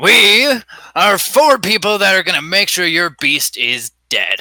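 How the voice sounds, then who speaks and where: Using a put-on character voice, a man speaks with a high pitch at a fairly slow pace. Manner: grandiose, heroic.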